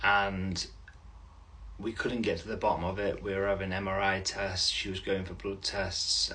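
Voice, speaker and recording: A man talks at a fairly slow pace over noticeable background noise, with audible room echo. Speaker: vlogger. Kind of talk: personal update video. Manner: halting.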